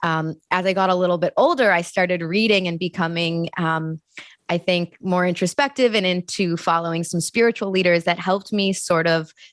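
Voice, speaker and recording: A woman with an unremarkable speaking voice at medium pitch, speaking at a moderate pace. Her pitch varies in an ordinary way, and the sound is dry and close with no echo. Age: 30s. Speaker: journalist and TV host. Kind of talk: interview conversation.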